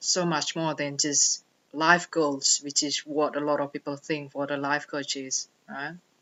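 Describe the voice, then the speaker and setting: A woman with a non-native accent and a very deep, low pitch, at a fairly slow pace. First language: not English. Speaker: life coach. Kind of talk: personal vlog monologue.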